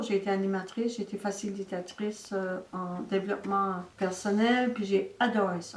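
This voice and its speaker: Noticeable background noise behind a woman at a medium pitch, with fairly even intonation, big swings in loudness and hardly any pauses. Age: 70s. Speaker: senior wellness ambassador, facilitator. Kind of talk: testimony. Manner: casual, with frequent hesitations.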